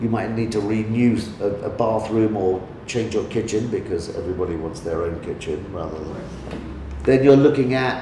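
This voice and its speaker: Over noticeable background noise and audible room echo, a man speaks at a moderate pace, his fairly low pitch moving with ordinary variation. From London, England (Lambeth). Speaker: real estate agent. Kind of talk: interview. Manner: halting, many repetitions.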